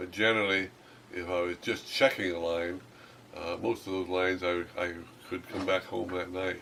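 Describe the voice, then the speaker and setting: This man's pitch is very deep and low, with monotone, flat intonation. He keeps a moderate pace. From Alaska. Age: old. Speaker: trapper. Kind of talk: interview. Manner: halting.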